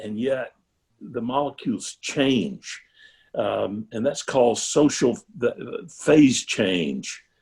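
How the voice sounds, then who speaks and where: A man talks very slowly, his intonation lively. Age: 70s. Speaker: retired pastor and club speaker. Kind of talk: talk to a club on video call. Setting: video call. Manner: halting, many fillers and repeats.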